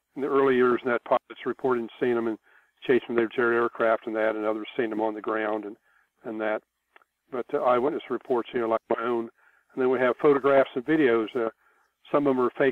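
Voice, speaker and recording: Monotone, flat delivery at a fairly quick pace. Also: man. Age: 70s. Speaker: UFO researcher, retired military. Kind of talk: interview. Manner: hesitant, many fillers.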